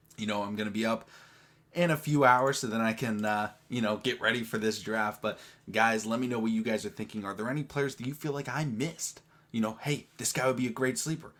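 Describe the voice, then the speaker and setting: Quiet male voice at medium pitch, fairly quick pace, ordinary pitch variation, very clean recording with a silent background. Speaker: sports YouTuber. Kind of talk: casual vlog commentary.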